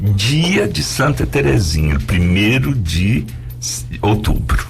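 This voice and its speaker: Amid music in the background and audible room echo, a man speaks at a very slow pace in a very deep, low voice with very wide pitch swings. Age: 60s. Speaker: visual artist. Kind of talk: interview. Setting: radio studio.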